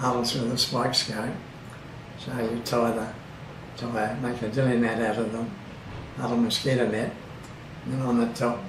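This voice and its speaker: With an Australian accent, a man talks at a medium pitch. Background noise is noticeable. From Bundaberg, Queensland, Australia. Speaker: oral history interviewee. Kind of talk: interview answer.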